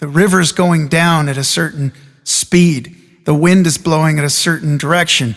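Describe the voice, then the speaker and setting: A man talks at a moderate pace with a fairly high pitch and fairly even intonation. Music plays in the background. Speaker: motivational speaker. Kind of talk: motivational talk.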